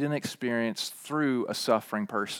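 Moderately paced speech from a man, the recording very clean and the background silent. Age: 40s. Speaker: pastor. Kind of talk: sermon. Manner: halting.

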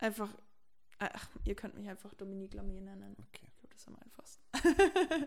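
A woman's medium pitch with lively intonation, vocal fry, big swings in loudness and a fairly quick pace. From Franconia, Germany (near Erlangen). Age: 20s. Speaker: techno club owner and podcast host. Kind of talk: casual chat. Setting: in her kitchen at home.

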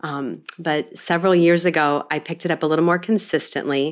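In a plain, everyday voice, a woman talks at a moderate pace with a fairly low pitch. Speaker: homemaking blogger and podcaster. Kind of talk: casual chat.

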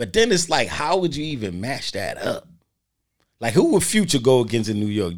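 A man with a fairly high pitch talks at a moderate pace, his voice making very wide pitch swings. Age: 40s. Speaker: podcast co-host. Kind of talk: casual chat. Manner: animated.

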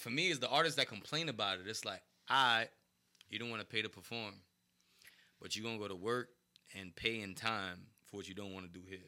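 In a New York accent, a man talks at a very fast pace with a medium pitch and a bright, sharp tone. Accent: New York City. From New York City, East Harlem. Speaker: hip-hop artist. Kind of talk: casual chat.

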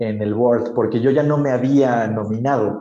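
A man with a Mexican accent has a dark, mellow tone. He talks at a fairly slow pace with fairly even intonation. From Oaxaca, Mexico. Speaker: social entrepreneur. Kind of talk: casual interview.

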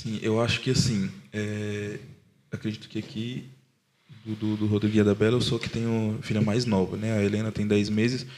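This man has an unremarkable speaking voice at a medium pitch and a moderate pace. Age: 20s. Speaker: podcast producer and father. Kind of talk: casual chat.

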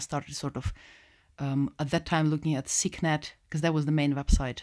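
A woman with a very deep, low pitch talks at a fairly quick pace in a monotone, flat intonation. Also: very clean recording, silent background. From Russia (Moscow). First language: Russian. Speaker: Sikh community educator. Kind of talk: interview.

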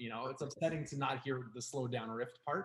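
The pace is very fast. The voice is somewhat breathy. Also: man. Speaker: podcast co-host. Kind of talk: casual chat. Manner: animated.

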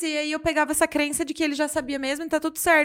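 Recorded very cleanly against a silent background, a woman speaks in a high voice. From Brazil, Jundiaí, São Paulo state. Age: 30s. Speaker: business mentor and podcaster. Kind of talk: casual chat.

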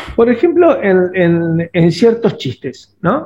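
This man's voice sits high in pitch. The intonation is lively. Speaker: podcast co-host, father. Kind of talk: casual conversation. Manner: halting, many repetitions and fillers.

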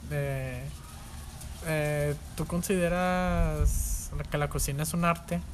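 The pace is very slow. The speaker has a Mexican accent. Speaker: podcast host. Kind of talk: casual chat.

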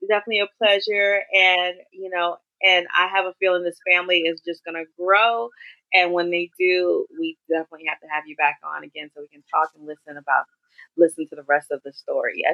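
Using an unremarkable speaking voice, a woman talks fairly quickly at a fairly low pitch, her intonation fairly even but her loudness swinging widely. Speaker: interviewer. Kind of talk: casual interview.

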